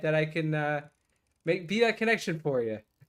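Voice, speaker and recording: With a slight Boston accent, a man talks at a fairly high pitch and with lively intonation. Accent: slight Boston accent in certain vowels. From Massachusetts. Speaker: fishing YouTuber. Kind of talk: casual chat. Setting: live stream while gaming.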